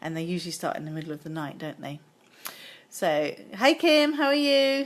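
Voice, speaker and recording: In a British accent, a woman speaks at a fairly low pitch. Her pitch swings very widely. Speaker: card-making demonstrator. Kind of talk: live craft tutorial. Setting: Facebook Live stream. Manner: hesitant, many 'um' fillers.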